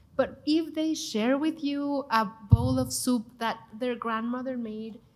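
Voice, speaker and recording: The speaker has a Mexican accent and a very slow pace. The pitch varies in an ordinary way. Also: woman, high pitch for a woman. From Mexico City. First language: Spanish. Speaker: TV chef and cooking show host. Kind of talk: panel discussion. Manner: animated.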